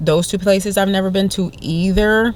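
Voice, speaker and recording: A woman talks at a fairly quick pace. She speaks with a New Jersey accent. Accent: New Jersey American English. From New Jersey, US. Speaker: vlogger. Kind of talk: casual vlog talk. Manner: frequent stutters and repetitions.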